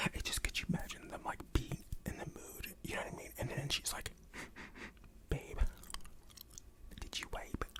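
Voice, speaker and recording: Over noticeable background noise, a man is whispering at a moderate pace. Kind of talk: ASMR reddit reading with reactions. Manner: whispered; soft-spoken.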